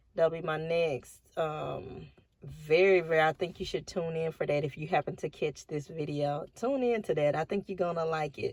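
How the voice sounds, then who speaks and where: Relaxed in tone, a woman with a Southern US accent talks at a moderate pace in a fairly low pitch with ordinary pitch variation. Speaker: vlogger. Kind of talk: casual vlog monologue. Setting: in a car at a park by the river.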